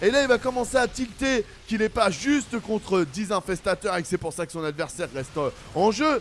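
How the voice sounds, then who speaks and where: A man's animated voice with lively intonation at a moderate pace. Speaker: esports caster. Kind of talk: replay game commentary.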